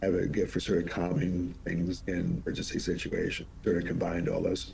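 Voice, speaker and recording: A man speaks at a very even loudness. There is audible room echo. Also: fairly quick pace. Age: 70s. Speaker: monk and politician, former emergency official. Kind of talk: interview.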